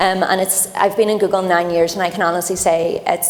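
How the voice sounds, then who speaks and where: A woman's flat, monotone voice, fairly low in pitch, at a very fast pace amid noticeable background noise. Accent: Irish. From Ireland. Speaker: tech company program lead on a panel. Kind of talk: panel discussion.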